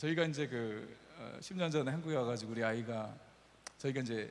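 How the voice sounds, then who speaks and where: A medium-pitched man at a fairly quick pace, with ordinary pitch variation and audible room echo. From Brazil (Korean immigrant family). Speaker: pastor. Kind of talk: sermon. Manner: casual, anecdotal storytelling.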